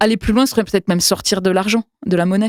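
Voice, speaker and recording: A woman's medium-pitched voice with a dry, close sound and no echo. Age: 40s. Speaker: workshop trainer and activist lecturer. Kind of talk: interview. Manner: halting, many fillers and repetitions.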